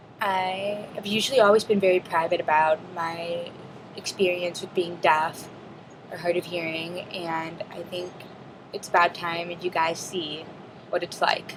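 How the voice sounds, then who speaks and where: Over noticeable background noise, a woman speaks slowly and flatly at a fairly low pitch, in a monotone with big swings in loudness. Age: 20s. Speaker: student; deaf cochlear implant recipient. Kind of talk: casual video log talk to camera.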